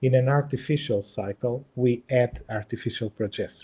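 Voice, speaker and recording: A man with a Portuguese accent, a dark, mellow tone, a somewhat breathy quality, fairly even intonation and a moderate pace. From Portugal. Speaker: embryologist and IVF lab director; presenter. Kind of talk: webinar presentation and Q&A. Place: home room. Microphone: webcam.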